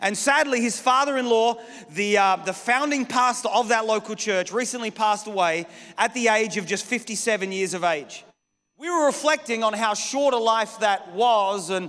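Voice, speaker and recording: A man talks at a moderate pace with a bright, sharp tone. His pitch varies in an ordinary way over a quiet background. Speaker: pastor preaching. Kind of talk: sermon. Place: church. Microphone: handheld.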